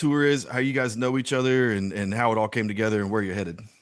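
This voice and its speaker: Ordinary pitch variation marks this man's speech in a Southern US accent. The background is quiet. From US South (South Georgia). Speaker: podcast host. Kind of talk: interview.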